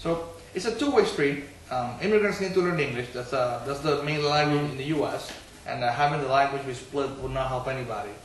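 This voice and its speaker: A man with a slight non-native accent talks very fast at a fairly high pitch, with ordinary pitch variation, noticeable background noise and audible room echo. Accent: slight foreign accent in English. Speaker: city council member, political candidate. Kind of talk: political discussion interview. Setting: bookstore.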